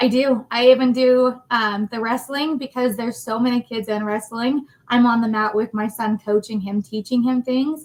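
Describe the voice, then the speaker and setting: The speech moves at a moderate pace with hardly any pauses. Its intonation stays fairly even. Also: woman, fairly high pitch for a woman. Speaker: facilities manager. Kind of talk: casual interview. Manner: loud.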